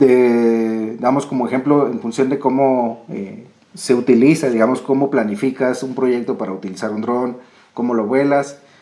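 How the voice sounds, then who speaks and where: Here a man talks with medium pitch and fairly even intonation. His pace is moderate. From Colombia. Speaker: researcher, geographer. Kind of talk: academic presentation. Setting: video call.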